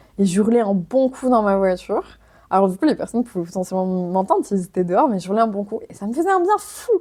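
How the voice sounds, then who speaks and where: A dark, mellow tone at a very fast pace. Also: woman, medium pitch for a woman, lively intonation. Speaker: physiotherapist and podcast host. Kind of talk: solo podcast monologue. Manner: loud; casual, hesitant with fillers.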